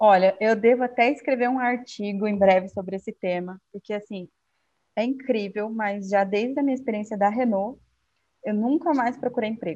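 Her voice has a dark, mellow tone and a fairly high pitch. The woman speaks at a moderate pace with ordinary pitch variation. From Brazil, Acre (Rio Branco). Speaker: finance executive. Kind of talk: interview.

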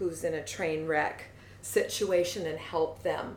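In an American accent, a woman speaks at a fairly slow pace amid audible room echo. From US Pacific Northwest, Seattle. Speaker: fitness coach. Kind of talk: casual interview.

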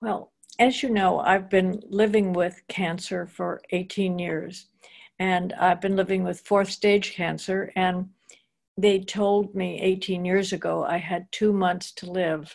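A woman speaks very slowly at a medium pitch, her tone warm. Her intonation is monotone and flat. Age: 80s. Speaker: author, artist, activist and speaker. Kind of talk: interview conversation. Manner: warm, reflective, hesitant with fillers.

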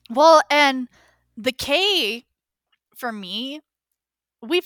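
A woman with an American accent. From US, predominantly Mexican neighborhood. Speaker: podcast co-host. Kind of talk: casual chat.

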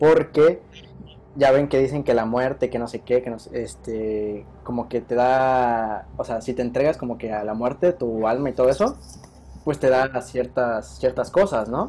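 At a fairly slow pace, a voice with a Mexican accent shows ordinary pitch variation. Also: man. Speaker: podcast host. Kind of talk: casual chat.

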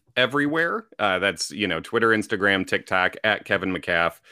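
A man with a plain, everyday voice talks at a fairly quick pace with lively intonation on a very clean recording with a silent background. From Chicago area, US Midwest. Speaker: stand-up comedian and comedy writer. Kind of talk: casual interview chat.

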